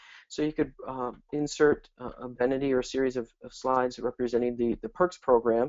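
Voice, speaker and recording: Speaking at a fairly quick pace with hardly any pauses, a man with a medium pitch keeps a fairly even intonation while his loudness swings widely. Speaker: marketing director presenting a webinar. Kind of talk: webinar presentation. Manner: halting, many fillers and repeats.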